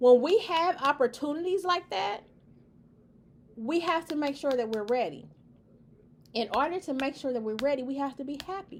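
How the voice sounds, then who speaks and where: A woman speaks at a moderate pace with a high pitch, lively intonation and an animated tone, leaving long, frequent pauses. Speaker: video blogger. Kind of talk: casual monologue to camera.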